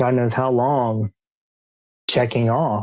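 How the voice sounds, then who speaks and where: A man speaks with an Alabama accent. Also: dry, close sound with no echo. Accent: Southern US (Alabama). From US South, Alabama. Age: 40s. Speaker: coach for men coming out. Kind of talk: podcast interview.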